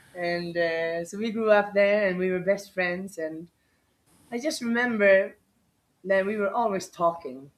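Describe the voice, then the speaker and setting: A woman's medium-pitched voice in a Swedish accent, fairly slow, with ordinary pitch variation. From Sweden (Borlänge). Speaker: dog rescuer. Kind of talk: interview. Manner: halting.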